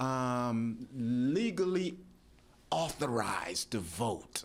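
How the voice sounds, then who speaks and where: The man's pitch leaps up and down across an extremely broad range. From Jamaica. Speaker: pastor and election official. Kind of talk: radio interview. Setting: radio studio.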